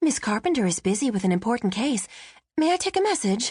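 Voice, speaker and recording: A woman does a put-on character voice, breathy and fairly high, with very wide pitch swings. She talks at a very fast pace, her loudness very even. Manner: formal, coy, old-Hollywood.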